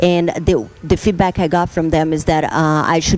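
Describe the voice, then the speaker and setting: Noticeable background noise sits behind a woman with a Brazilian accent and a very deep, low pitch. She keeps a moderate pace and fairly even intonation. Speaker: bikini fitness competitor. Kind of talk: interview talk. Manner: halting, many fillers.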